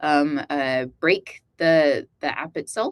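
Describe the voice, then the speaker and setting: A woman speaks in a Texan accent with ordinary pitch variation. The sound is dry and close with no echo, over a quiet background. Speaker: AI developer relations lead running a workshop. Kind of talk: live technical workshop demo. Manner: halting, many fillers.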